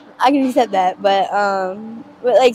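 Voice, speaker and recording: A woman takes a fairly slow pace, her pitch varying in an ordinary way. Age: 20s. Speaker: person living on the street with addiction. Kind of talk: street interview. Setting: outdoors on the street. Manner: halting.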